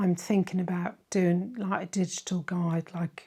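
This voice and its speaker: A woman's medium-pitched, somewhat breathy voice, monotone and flat in intonation, at a fairly slow pace on a very clean recording with a silent background. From Ireland. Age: 50s. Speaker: history and church travel YouTuber. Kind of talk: Q&A chat to viewers. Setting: home office. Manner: casual, hesitant with fillers.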